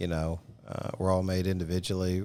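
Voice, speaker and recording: A man with a Southern US accent speaks in a very deep, low pitch, his tone dark and mellow and his intonation fairly even. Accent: southern drawl. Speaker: podcast host. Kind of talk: casual interview.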